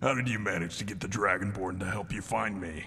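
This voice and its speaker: Growling in a put-on character voice, a man rattles along at a very fast pace with fairly even intonation against clear background noise. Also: fairly low pitch for a man. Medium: video game. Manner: gruff, contemptuous.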